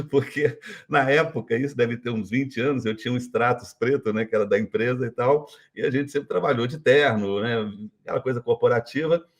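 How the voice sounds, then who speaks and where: In a plain, everyday voice, a man at medium pitch talks at a fairly quick pace with fairly even intonation. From Brazil, Minas Gerais. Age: 60s. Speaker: retired business executive. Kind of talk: interview.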